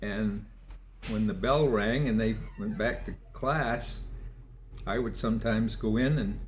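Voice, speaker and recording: A man speaks at a fairly slow pace with long, frequent pauses, and room echo is audible. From Maine (Sabattus area). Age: 80s+. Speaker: local elder interviewee. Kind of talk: oral history interview.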